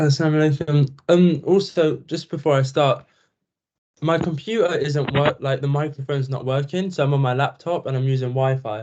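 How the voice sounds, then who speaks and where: A man speaks at a fairly high pitch. His pace is fairly quick, with fairly even intonation. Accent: British. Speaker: student. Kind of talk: self-introduction in online class. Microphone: laptop microphone, own mic broken.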